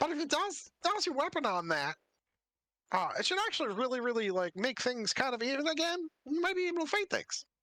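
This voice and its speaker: A man speaks in a put-on character voice pitched extremely high. His pace is fairly quick. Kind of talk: laid-back modern slang. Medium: actual play. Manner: stammering, halting, casual.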